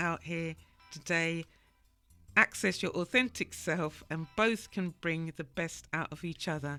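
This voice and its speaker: A fairly slow pace with music in the background. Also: woman. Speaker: radio show host. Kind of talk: radio talk show discussion.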